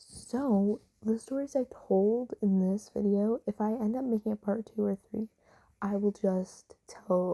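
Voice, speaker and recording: Speaking quietly at a fairly slow pace, a woman has a dark, mellow tone and fairly even intonation, with a dry, close sound and no echo. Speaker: vlogger. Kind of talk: voiceover commentary. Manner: quiet, hushed.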